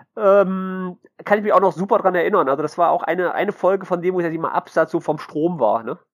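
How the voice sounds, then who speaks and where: Very fast and high-pitched, a man rattles off his words. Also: ordinary pitch variation. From Mönchengladbach, western Germany. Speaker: podcast host. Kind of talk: casual chat.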